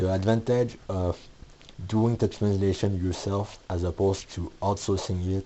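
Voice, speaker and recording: A man with a Quebec accent speaks at a moderate pace. His very deep, low voice is monotone and flat. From Quebec, Canada. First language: French. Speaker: comic book author and creator. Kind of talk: video essay / tutorial talk. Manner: some hesitations and restarts.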